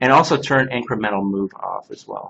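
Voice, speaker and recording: With an unremarkable speaking voice, a man talks at a moderate pace and medium pitch, showing ordinary pitch variation. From Canada. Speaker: CNC workshop instructor. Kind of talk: hands-on software class.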